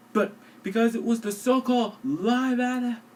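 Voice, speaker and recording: A man's extremely high voice at a moderate pace, with fairly even intonation over noticeable background noise. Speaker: online film reviewer. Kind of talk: movie review narration. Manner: quiet.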